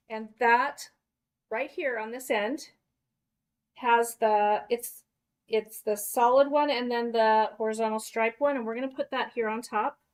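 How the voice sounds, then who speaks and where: A woman's fairly high voice, fairly even in intonation, at a fairly slow pace, on a very clean recording with a silent background. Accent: Utah. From Kentucky, US. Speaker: craft workshop instructor. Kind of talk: live craft tutorial. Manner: casual, chatty.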